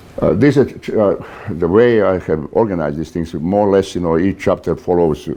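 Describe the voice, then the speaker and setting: With a non-native accent, the speaker uses lively intonation at a moderate pace while noticeable background noise comes through. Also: man. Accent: foreign. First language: not English. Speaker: author and naval warfare lecturer. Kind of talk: lecture. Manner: halting, many fillers.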